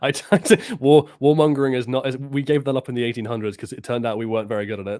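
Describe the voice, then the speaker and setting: Very fast speech comes from a man with a dark, mellow tone. His medium pitch shows ordinary variation. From France. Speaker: gaming YouTuber guest. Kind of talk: casual chat.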